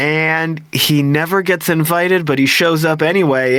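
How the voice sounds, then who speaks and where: A man's fairly high, animated voice at a fairly slow pace, with ordinary pitch variation and noticeable background noise. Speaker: game master of tabletop roleplaying podcast. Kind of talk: live actual play podcast hosting. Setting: live stream.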